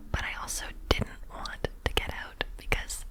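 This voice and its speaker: A whisper against noticeable background noise. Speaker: ASMR creator and archaeology field tech. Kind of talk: ASMR whisper ramble, casual talk to camera. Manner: whispered.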